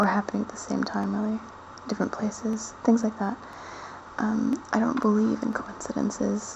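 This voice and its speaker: Speech at a moderate pace comes through with noticeable background noise. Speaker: video blogger. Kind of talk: casual personal monologue. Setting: at parents' house at night. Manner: soft-spoken, talking quietly; halting, with many fillers. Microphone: quiet recording.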